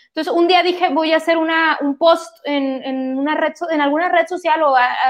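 The woman's pitch moves in an ordinary way. She keeps to a medium tempo. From Mexico, Monterrey. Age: 30s. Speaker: homebuying adviser sharing personal story. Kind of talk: casual interview, personal testimony. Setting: live stream.

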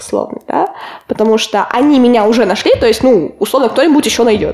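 Fairly high in pitch, a woman talks in a plain, everyday voice, its pitch varying in an ordinary way. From Russia, Kotlas. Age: 20s. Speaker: applied ethics student. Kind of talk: casual chat.

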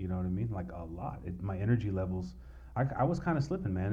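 Talking at a very fast pace in a Southern California accent, a man with a fairly low pitch, vocal fry and a dark, mellow tone is heard with audible room echo. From US West Coast, east San Diego County. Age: 40s. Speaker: tattoo artist. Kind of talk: casual chat.

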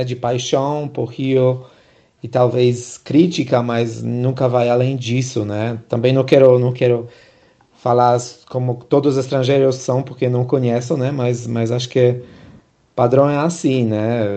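This man talks at a fairly slow pace and medium pitch. His intonation is monotone and flat. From abroad, not Brazil. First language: not Portuguese (speaking Portuguese). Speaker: podcast host. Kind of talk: podcast interview. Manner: halting, many repetitions.

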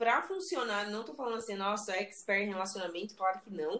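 A woman's voice with a bright, sharp tone. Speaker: podcast host. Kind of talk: casual chat.

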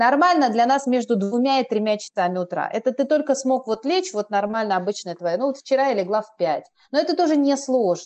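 A woman talks at a fairly quick pace. Her high voice has very wide pitch swings. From Moscow, Russia. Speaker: blogger and Korean teacher. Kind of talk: casual chat. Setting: remote call.

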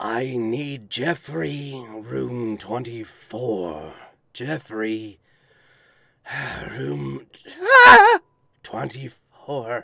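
Putting on a raspy character voice, a man speaks at a medium pitch and a very slow pace, with very wide pitch swings and long, frequent pauses.

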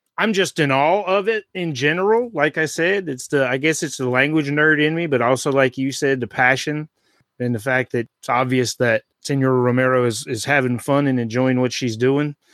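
An unremarkable speaking voice, a man at fairly high pitch with ordinary pitch variation, moderate pace and hardly any pauses, dry and close with no echo. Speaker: podcast host, former language teacher. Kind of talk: casual chat.

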